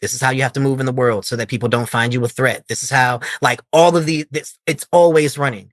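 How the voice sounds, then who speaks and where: A man's plain, everyday voice at medium pitch, fairly quick and fairly even in intonation, with hardly any pauses. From Washington, D.C. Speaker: poet. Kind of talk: interview answer.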